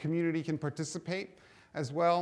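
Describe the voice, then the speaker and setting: A man with a high pitch speaks at a moderate pace in a very clean recording with a silent background. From New York City (Hell's Kitchen, Manhattan). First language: Spanish. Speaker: education technology speaker. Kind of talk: keynote speech.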